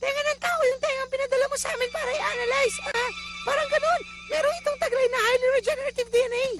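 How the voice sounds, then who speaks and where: Clear music plays behind a put-on character voice with an extremely high pitch. The delivery is very fast. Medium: fan dub. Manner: casual, chatty.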